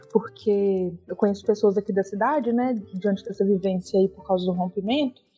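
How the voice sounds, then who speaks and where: Music plays in the background as a woman at medium pitch speaks at a moderate pace, with fairly even intonation and hardly any pauses. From Minas Gerais, Brazil (Belo Horizonte / Brumadinho). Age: 30s. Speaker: lawyer. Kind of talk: interview.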